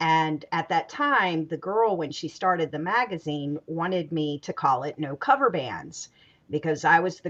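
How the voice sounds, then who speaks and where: This woman has a plain, everyday voice, fairly low-pitched, with an American accent. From US South, Greensboro, North Carolina. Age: 50s. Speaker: talk show host. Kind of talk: panel discussion.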